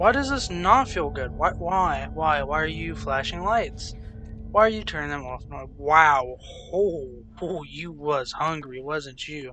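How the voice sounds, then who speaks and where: Music plays in the background while a man speaks at a fairly slow pace. His loudness swings widely. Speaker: gaming YouTuber. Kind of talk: let's play commentary. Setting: home recording. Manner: casual, rambling with laughs.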